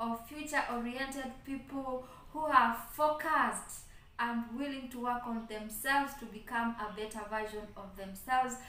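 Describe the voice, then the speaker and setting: A woman projects a raised voice at a fairly slow pace. Audible room echo surrounds her. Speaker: channel host. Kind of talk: casual vlog chat. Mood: grateful and cheerful. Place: home room. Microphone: phone near.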